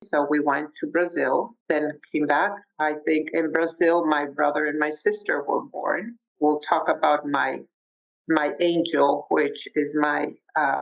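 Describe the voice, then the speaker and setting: In a Spanish accent, a woman with a very deep, low pitch and vocal fry speaks at a fairly slow pace, her intonation fairly even and her loudness very even. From Mexico City, Mexico. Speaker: podcast guest sharing life story. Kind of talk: interview. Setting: video call.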